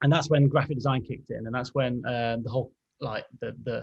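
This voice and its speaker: This man has an English accent, a fairly high pitch, a somewhat breathy voice and a fairly quick pace. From England, Derby (East Midlands). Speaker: graphic designer. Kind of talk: podcast interview.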